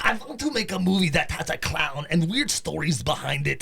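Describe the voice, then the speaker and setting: A man in a put-on character voice, high in pitch, at a moderate pace. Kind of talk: casual.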